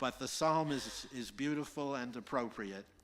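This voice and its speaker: A man at medium pitch with ordinary pitch variation, fairly slow in pace, over noticeable background noise. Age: 70s. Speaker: congregation member leading closing reading. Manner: halting.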